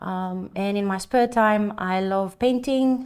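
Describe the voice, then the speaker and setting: In a very clean recording with a silent background, a woman with a Greek accent speaks with fairly even intonation. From Greece (island of Samos). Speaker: painter and art teacher. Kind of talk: oral history interview.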